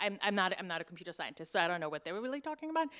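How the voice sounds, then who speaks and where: A woman's bright, sharp tone on a very clean recording with a silent background. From Germany. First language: German. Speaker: investigative journalist. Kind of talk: conference panel talk.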